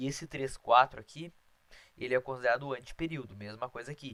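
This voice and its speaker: The speaker is a man at medium pitch. He talks at a fairly quick pace. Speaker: math teacher. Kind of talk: lecture. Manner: fast.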